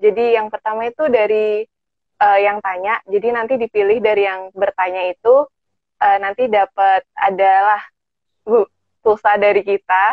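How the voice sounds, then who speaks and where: A plain, everyday voice from a woman at medium pitch, moderate in pace, with fairly even intonation. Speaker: student moderator. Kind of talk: casual online talk. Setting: video call.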